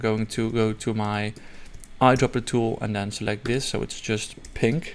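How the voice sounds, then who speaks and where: In a non-native accent, a man with a medium pitch speaks at a moderate pace with monotone, flat intonation. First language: not English. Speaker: software tutorial creator. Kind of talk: tutorial. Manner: halting, many fillers and restarts; casual.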